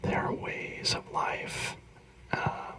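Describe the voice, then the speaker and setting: The speaker is whispering. There is noticeable background noise behind the words. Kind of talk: ASMR whispered talk on philosophy. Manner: whispered.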